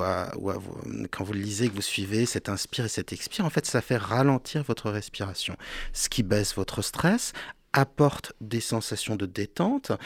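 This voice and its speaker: Speaking at a moderate pace with lively intonation, a man with medium pitch sounds dry and close with no echo, in a very clean recording with a silent background. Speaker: hypnotherapist and author. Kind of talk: radio interview. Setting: radio studio. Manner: animated gestures while speaking.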